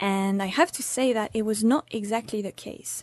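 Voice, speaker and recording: A woman speaks in a French accent at a fairly high pitch with fairly even intonation. Her tone is dark and mellow, at a moderate pace. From France. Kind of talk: scripted narration.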